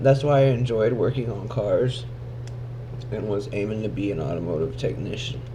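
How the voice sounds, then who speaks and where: Amid noticeable background noise and audible room echo, a man talks at a moderate pace with a medium pitch and ordinary pitch variation. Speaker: vlogger recovering from head injury. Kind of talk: casual vlog. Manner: slurred speech; halting, with speech delay.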